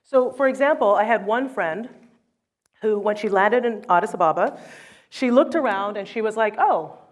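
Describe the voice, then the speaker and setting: On a very clean recording with a silent background, a woman in a normal speaking voice talks at a moderate pace, her pitch fairly high with ordinary variation. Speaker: author and photographer. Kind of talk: keynote talk.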